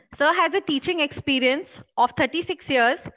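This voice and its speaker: Against a quiet background, a woman uses a raised, projected voice with lively intonation and a bright, sharp tone. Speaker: session host. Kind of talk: formal speaker introduction. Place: office. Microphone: earbuds.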